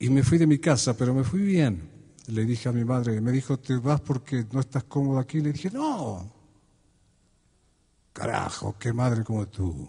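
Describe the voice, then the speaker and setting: The tone is dark, mellow and warm, somewhat breathy. The pace is moderate and the background quiet. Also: man. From Argentina. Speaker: folk singer-songwriter (troubadour). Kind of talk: live concert monologue with poems and anecdotes. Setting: live concert before an audience, Quito. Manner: reflective, warm, humorous storytelling. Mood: warm, humorous, calm. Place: stage. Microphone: studio mic.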